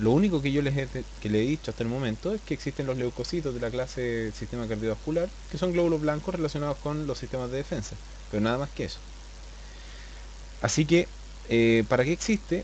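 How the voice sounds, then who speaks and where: This man speaks at a very fast pace. His delivery has long, frequent pauses. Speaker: biology teacher. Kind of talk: lecture. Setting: live online class. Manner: flatter than usual.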